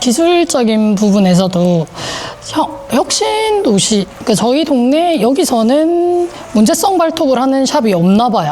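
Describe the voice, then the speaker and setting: A woman speaks at a high pitch and a fairly slow pace, her pitch swinging very widely while her loudness stays very even. Noticeable background noise is present. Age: 30s. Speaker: nail salon owner, toenail care specialist. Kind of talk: interview answer. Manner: talkative, chatty.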